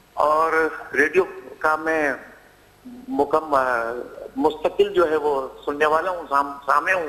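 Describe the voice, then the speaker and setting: There is noticeable background noise as a man speaks at a fairly high pitch with ordinary pitch variation. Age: 60s. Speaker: caller. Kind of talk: phone-in call.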